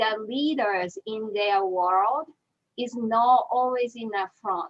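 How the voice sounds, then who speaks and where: Here is a woman with a Japanese accent. Her pitch is fairly high. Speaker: animal trainer. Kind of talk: panel discussion.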